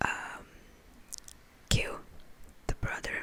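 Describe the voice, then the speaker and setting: Noticeable background noise fills the recording. Through it, a woman whispers fairly slowly. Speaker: ASMR creator. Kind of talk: ASMR whispered talk about TV shows for sleep. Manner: whispered, slow, relaxing.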